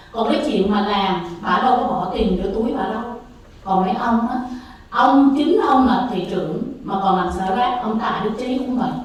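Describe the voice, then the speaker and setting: A woman's fairly high, lively voice at a fairly slow pace, with audible room echo and noticeable background noise. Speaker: public commenter at city council. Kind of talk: public comment speech.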